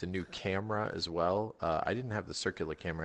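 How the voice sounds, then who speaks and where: The delivery is very fast with fairly even intonation, against a quiet background. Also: man. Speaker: podcast co-host. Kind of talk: casual chat. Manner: loud; halting.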